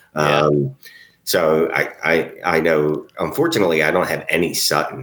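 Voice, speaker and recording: Keeping his intonation fairly even, a man speaks at a moderate pace with a very deep, low pitch. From Philadelphia. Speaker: fantasy football podcast co-host. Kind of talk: casual chat.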